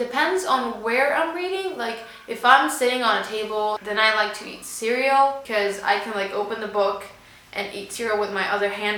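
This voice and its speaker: Amid noticeable background noise and audible room echo, a woman with a fairly high pitch speaks at a moderate pace. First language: Spanish. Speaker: booktuber. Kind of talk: casual vlog chat.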